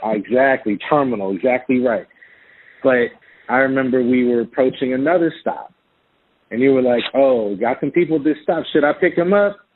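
A man with an American accent and a plain, everyday voice, medium pitch, ordinary pitch variation and a fairly quick pace. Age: 40s. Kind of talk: casual chat. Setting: phone call.

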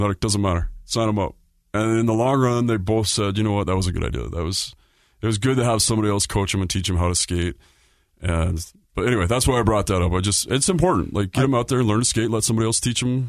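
Over a quiet background, a man with an American accent and a fairly low pitch talks at a very fast pace with very even loudness. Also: ordinary pitch variation. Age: 40s. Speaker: hockey podcast host. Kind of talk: casual chat. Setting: studio.

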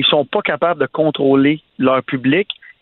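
The man has an unremarkable speaking voice and a fairly high pitch. He speaks at a moderate pace. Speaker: nightlife entrepreneur. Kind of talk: casual chat.

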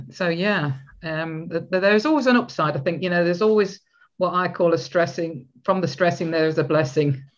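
A woman with a British accent speaks at a fairly quick pace, her fairly low voice moving with ordinary pitch variation. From UK. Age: 60s. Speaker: podcast host, relationship coach. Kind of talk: interview.

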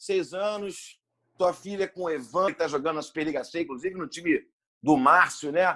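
A man's high-pitched voice with a bright, sharp tone, ordinary pitch variation and a moderate pace. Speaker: volleyball commentator. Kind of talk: podcast interview. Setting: remote call.

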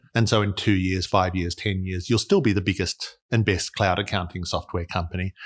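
The speaker talks at a moderate pace in an Australian accent. The background is quiet. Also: man. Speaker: investor, fund manager. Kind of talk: interview.

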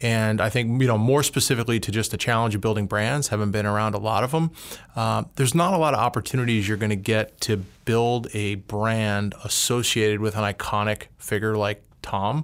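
Heard in a very clean recording with a silent background, an unremarkable speaking voice moves at a fairly quick pace with very even loudness and fairly even intonation. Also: man, fairly low pitch for a man. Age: 40s. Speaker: consumer brand executive. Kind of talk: interview.

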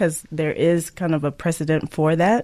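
Recorded very cleanly against a silent background, a woman has an unremarkable speaking voice. Her pitch is fairly low, and her pace is moderate. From Canada. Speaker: Olympic bobsled athlete. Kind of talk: interview.

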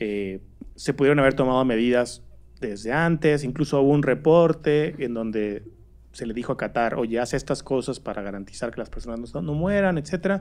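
This man speaks at a fairly quick pace with a medium pitch and lively intonation. He has a plain, everyday voice. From Mexico, Torreón. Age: 30s. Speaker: digital rights organization director. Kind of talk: casual chat.

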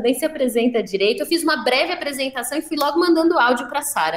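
Noticeable background noise surrounds a woman speaking at high pitch. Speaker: podcast host. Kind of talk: casual chat.

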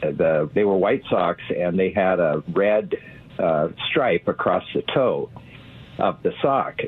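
Music plays in the background. A man with an American accent speaks at a very slow pace. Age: 80s. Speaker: caller. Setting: phone call.

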